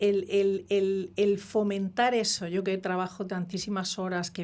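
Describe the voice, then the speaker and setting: Woman of medium pitch at a fairly slow pace, on a very clean recording with a silent background. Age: 60s. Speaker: microbiota expert doctor. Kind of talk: interview. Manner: halting.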